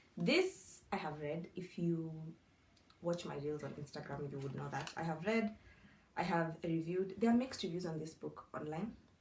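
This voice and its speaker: A woman with a non-native accent, a fairly low pitch, ordinary pitch variation, a somewhat breathy voice and a moderate pace. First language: not English. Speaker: book content creator. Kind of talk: casual vlog. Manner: conversational, self-talking.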